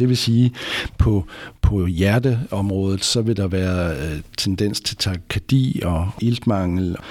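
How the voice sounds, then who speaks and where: The man's pitch is fairly low. Its variation is ordinary. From West Jutland, Denmark. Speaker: anaesthesiology professor. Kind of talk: expert interview. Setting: hospital conference room.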